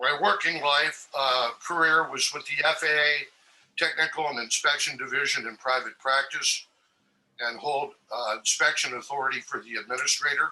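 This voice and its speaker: In a Californian accent, a man speaks at a moderate pace. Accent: General American (California). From Northern California (Marin County). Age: 60s. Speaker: applicant for a public commission seat. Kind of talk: self-introduction at a public meeting.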